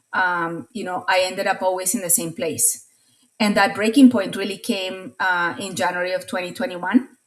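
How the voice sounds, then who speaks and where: Speaking at a moderate pace with a Latin American accent, a woman with a medium pitch shows ordinary pitch variation and big swings in loudness. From Latin America (Colombia and Venezuela). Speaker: marketing consultant. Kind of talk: interview testimony. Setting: podcast interview.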